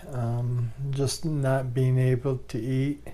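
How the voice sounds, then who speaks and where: A man's somewhat breathy, dark, mellow voice at a medium pitch and a very slow pace. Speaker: vlogger living with ALS. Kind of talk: personal video diary. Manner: halting, many fillers. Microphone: new microphone.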